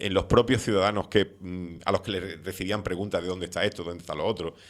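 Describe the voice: A man's low voice at a fast pace, with fairly even intonation.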